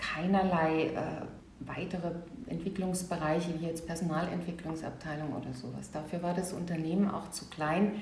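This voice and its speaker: A woman's fairly low voice with fairly even intonation, audible room echo and noticeable background noise. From Saarland, Germany. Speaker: leadership coach and trainer. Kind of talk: interview conversation.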